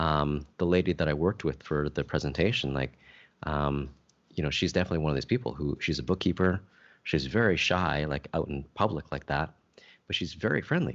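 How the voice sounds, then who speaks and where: Vocal fry marks this man's very deep, low voice. He talks fairly quickly with ordinary pitch variation. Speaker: podcast co-host. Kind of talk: casual chat.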